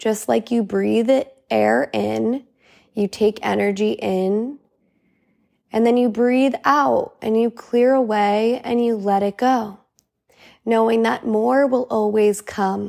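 A calm, soothing tone at a very slow pace, with fairly even intonation, very even loudness and a very clean recording over a silent background. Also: woman, fairly high pitch for a woman. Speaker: podcast host and integration coach. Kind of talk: guided meditation. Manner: slow, calm, soothing, gentle pacing with long pauses; warm, encouraging, relaxed and conversational.

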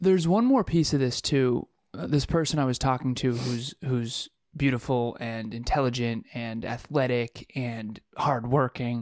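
In a dry, close sound with no echo, a man with an ordinary speaking voice talks at a fairly slow pace in a medium pitch with ordinary variation. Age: 30s. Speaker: podcast co-host. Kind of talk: casual chat.

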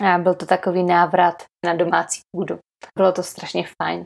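A woman talks at medium pitch and a moderate pace with vocal fry. The recording is very clean, with a silent background. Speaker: primary school teacher and podcast host. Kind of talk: casual interview conversation.

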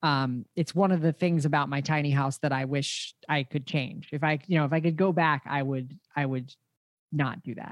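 Fairly high in pitch, a man with an unremarkable speaking voice talks at a moderate pace with fairly even intonation, on a very clean recording with a silent background and a dry, close sound with no echo. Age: 30s. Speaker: podcast host, tiny house expert. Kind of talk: interview conversation.

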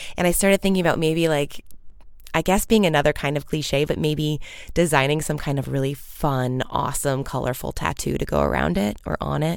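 A woman talks with a very deep, low pitch. She speaks in an American accent at a fairly quick pace. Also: ordinary pitch variation. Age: 30s. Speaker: podcast host. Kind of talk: casual solo monologue. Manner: chipper.

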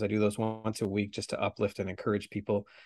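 This man talks at a very fast pace with a fairly low pitch and a western Canadian accent. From Canada, Vancouver area. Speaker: author. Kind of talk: interview.

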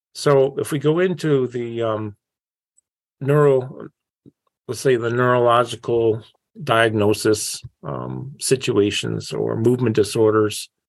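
A man at a fairly slow pace, with long, frequent pauses and ordinary pitch variation. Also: medium pitch for a man. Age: 60s. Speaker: neuro-rehabilitation specialist and trainer. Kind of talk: interview.

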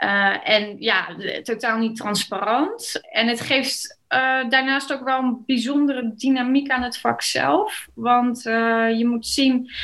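A woman's high voice at a very slow pace, with ordinary pitch variation. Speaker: real estate agent and lawyer. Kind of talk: interview.

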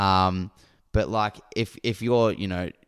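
In a very clean recording with a silent background, a man with a very deep, low pitch talks at a moderate pace with an Australian accent. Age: 20s. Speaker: podcast co-host. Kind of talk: casual chat.

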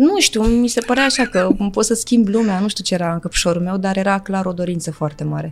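Fairly quick female speech amid noticeable background noise. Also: medium pitch for a woman, ordinary pitch variation. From Galați, eastern Romania (Moldavia). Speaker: actress. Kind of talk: casual chat. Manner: fast.

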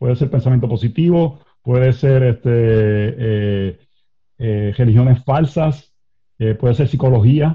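A somewhat breathy voice at a very slow pace. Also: man, medium pitch for a man, ordinary pitch variation. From Puerto Rico. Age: 40s. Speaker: pastor. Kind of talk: interview conversation.

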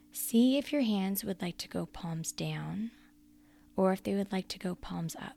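Music plays in the background. A woman speaks at a fairly slow pace in a soothing, warm tone. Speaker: prayer guide and coach. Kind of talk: guided prayer and meditation. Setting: solo recorded podcast. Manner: slow, calm, gentle; soothing, inviting, warm.

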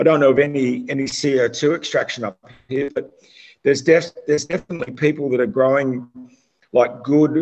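A fairly quick pace with an Australian accent. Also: man. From Australia, Melbourne area. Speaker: cannabis consultant. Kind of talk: casual chat.

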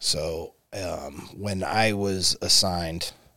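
A man with an American accent speaks in a bright, sharp tone with fairly even intonation, recorded very cleanly against a silent background. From St. Louis area, Missouri. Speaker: police criminal investigator and Marine combat veteran. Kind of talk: casual interview conversation. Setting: studio with podcast mics.

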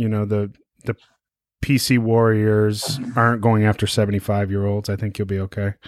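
A man speaks at a fairly low pitch and a fairly slow pace. His intonation is monotone and flat, the sound dry and close with no echo. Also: very clean recording, silent background. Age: 40s. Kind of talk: casual interview.

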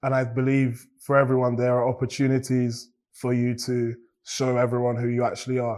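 A man with a southern English accent, medium pitch, a dark, mellow tone and a moderate pace. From England, Cambridge, of Nigerian parents. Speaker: beatboxer and musician. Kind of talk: interview.

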